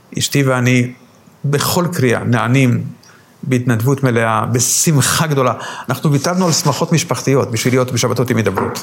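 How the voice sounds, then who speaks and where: There's noticeable background noise behind this man's medium-pitched voice. He speaks at a moderate pace with very even loudness. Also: ordinary pitch variation. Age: old. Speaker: rabbi. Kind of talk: interview. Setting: at home.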